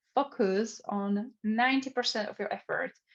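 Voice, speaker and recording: A woman's voice comes through somewhat breathy, with a quiet background behind it. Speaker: social media trainer. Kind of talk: online training webinar. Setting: video call. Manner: fast.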